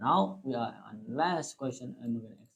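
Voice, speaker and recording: A man talks with a non-native accent. His pitch swings very widely. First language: not English. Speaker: IT tutorial youtuber. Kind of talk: tutorial. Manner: halting.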